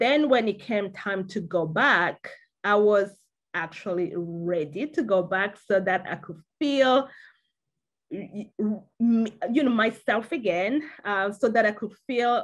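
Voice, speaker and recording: Against a quiet background, a woman with a French accent talks very slowly with lively intonation. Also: medium pitch for a woman. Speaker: panel guest. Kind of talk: interview. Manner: halting.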